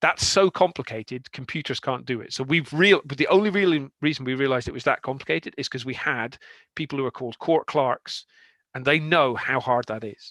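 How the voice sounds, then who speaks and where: A bright, sharp tone in a Scottish accent at a fairly quick pace, with ordinary pitch variation and big swings in loudness, dry and close with no echo against a quiet background. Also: man, fairly high pitch for a man. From Scotland, Aberdeen. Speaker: software consultant. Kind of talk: conference talk. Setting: online meetup. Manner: fast.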